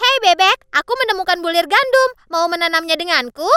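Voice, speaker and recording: Someone uses a put-on character voice pitched extremely high, delivered at a moderate pace. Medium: fan dub. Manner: clucking.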